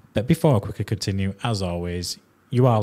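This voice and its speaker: On a very clean recording with a silent background, a man speaks in a strong Yorkshire accent with ordinary pitch variation. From northern England (Yorkshire). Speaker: podcast host. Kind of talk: casual interview chat.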